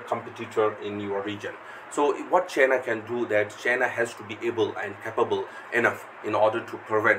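A man's fairly even intonation comes at a fairly quick pace, with noticeable background noise underneath. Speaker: lecturer. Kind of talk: lecture. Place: home room.

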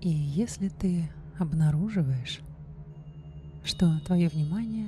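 Soft-spoken and soothing, a woman talks over music in the background. The sound is dry, with no echo. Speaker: meditation guide. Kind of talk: guided meditation / hypnosis for lucid dreaming. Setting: studio recording with background music and binaural beat. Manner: slow, soft, soothing.

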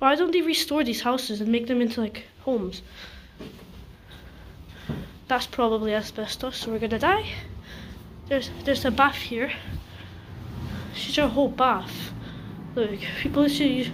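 A woman speaks at a high pitch and a moderate pace, with long, frequent pauses. Noticeable background noise runs under her voice. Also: ordinary pitch variation. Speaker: urban explorer vlogger. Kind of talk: casual vlog chat. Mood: nervous, excited. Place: empty room. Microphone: phone near.

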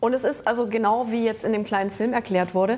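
A woman speaks at a very fast pace. Her pitch sits fairly high. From Germany. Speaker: comic artist and musician; comic artist. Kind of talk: casual chat. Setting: studio with audience. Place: studio. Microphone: lapel.

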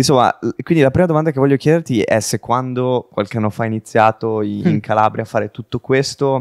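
A man talks very fast, with ordinary pitch variation. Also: dry, close sound with no echo. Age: 20s. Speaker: podcast host. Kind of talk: casual interview.

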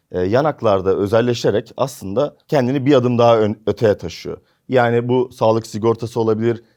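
A man speaks at a fairly quick pace with a dark, mellow tone and medium pitch. The background is quiet. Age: 20s. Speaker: catering company executive. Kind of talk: interview.

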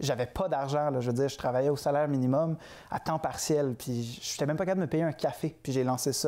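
A man speaks with a Quebec accent at a fairly high pitch in a dark, mellow tone. His pace is moderate and his intonation fairly even, over a quiet background. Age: 20s. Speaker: entrepreneur; guest. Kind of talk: interview. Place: studio. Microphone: lapel.

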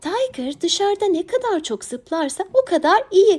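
Squeaky put-on character voice from a woman, extremely high in pitch with very wide pitch swings, at a moderate pace. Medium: read story. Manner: gentle, warm.

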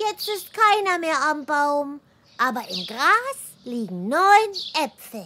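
A female-sounding cartoonish character voice sits high in pitch, swinging very widely, at a fairly slow pace. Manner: earnest, eager.

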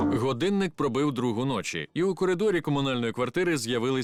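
Lively intonation in an unforced reading voice

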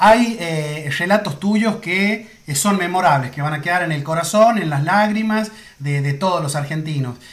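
Speaking fairly slowly, a man has a high pitch. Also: ordinary pitch variation. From Argentina. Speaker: sports photographer; sports photographer interviewing a commentator. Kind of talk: interview. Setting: Instagram live video call. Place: home room.

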